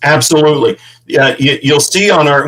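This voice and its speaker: This man has a Midwestern American accent and a fairly high pitch. He keeps a moderate pace. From St. Louis, Missouri. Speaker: veteran ranch founder. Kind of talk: interview. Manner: animated.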